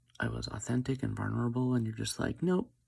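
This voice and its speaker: A soft-spoken man. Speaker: vlogger. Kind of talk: personal confessional monologue. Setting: at home, early morning. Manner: hesitant.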